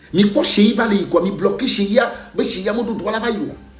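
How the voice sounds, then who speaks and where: A high-pitched man with audible room echo and music in the background. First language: a Togolese language (not French) (speaking French). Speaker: former footballer. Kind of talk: video monologue addressing a fellow player. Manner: repetitive, code-switching.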